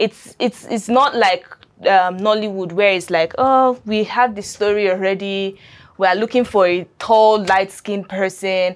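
In a Nigerian accent, a woman speaks at a fairly slow pace with fairly even intonation against a quiet background. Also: medium pitch for a woman. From Nigeria, Adamawa State. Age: 20s. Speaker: filmmaker. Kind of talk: interview.

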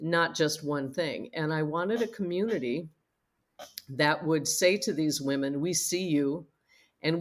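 In a very clean recording with a silent background, a woman speaks fairly slowly with a fairly low pitch and an unremarkable speaking voice. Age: 60s. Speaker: online community founder and coach. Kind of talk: casual interview chat.

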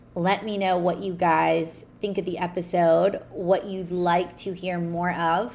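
A woman talks at a fairly slow pace in a monotone, flat intonation, with hardly any pauses. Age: 20s. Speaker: podcast host and fitness coach. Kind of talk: casual solo monologue. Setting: home recording. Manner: hesitant, many fillers.

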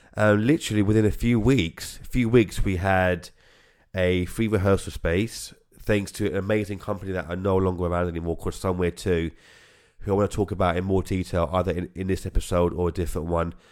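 In a very clean recording with a silent background, a man with a British accent talks at a fairly quick pace, his very deep, low pitch held in fairly even intonation. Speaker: podcast host and orchestra founder. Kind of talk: casual podcast intro. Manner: fast talker, mumbles, repeats himself; halting, stumbles over words.

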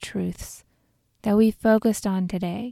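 This is a normal speaking voice with fairly even intonation. The sound is dry and close with no echo, in a very clean recording against a silent background. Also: woman. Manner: slow, soft, soothing and calm, with long pauses between gentle instructions.

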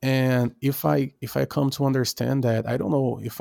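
In a Portuguese accent, a man with a dark, mellow tone and medium pitch speaks at a moderate pace with ordinary pitch variation, recorded very cleanly with a silent background and a dry, close sound with no echo. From Brazil. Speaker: rapper and music producer. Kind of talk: interview. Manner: halting.

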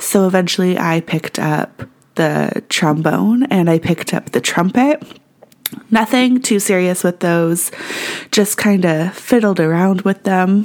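A woman at a medium pitch talks at a fairly slow pace, showing ordinary pitch variation and very even loudness. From Canada. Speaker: podcast host. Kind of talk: solo podcast monologue.

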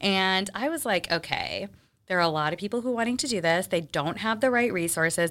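With an American accent, a woman speaks in a plain, everyday voice at a medium pitch, with lively intonation and a fairly quick pace, on a very clean recording with a silent background. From Texas. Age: 30s. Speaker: charcuterie business owner. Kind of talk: casual interview.

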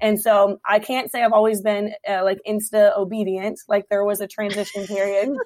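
A woman with an American accent speaks in a monotone, flat intonation with hardly any pauses. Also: medium pitch for a woman. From Hampton Roads, Virginia. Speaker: restaurant owner, speaker. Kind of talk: casual interview chat. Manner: fast talker.

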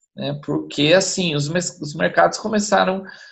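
A man speaks at a moderate pace. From São Paulo. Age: 40s. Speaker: podcast guest. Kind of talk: casual chat. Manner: talkative.

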